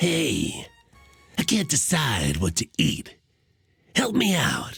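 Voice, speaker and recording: A put-on character voice at a middle pitch moves at a very slow pace, with faint music in the background. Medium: solo performance. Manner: casual, folksy.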